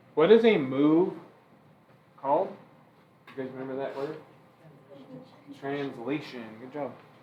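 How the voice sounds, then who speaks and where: Amid noticeable background noise and audible room echo, a man speaks at a fairly slow pace with long, frequent pauses, a fairly high pitch with ordinary variation, and big swings in loudness. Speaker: math teacher. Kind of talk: classroom lecture.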